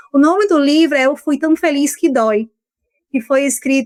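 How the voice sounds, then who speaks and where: A woman speaks with a strong Ceará accent. The sound is dry and close with no echo, and her pitch varies in an ordinary way. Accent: Ceará Brazilian accent, keeps it strongly. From Brazil, Ceará. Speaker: law professor. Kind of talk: podcast interview.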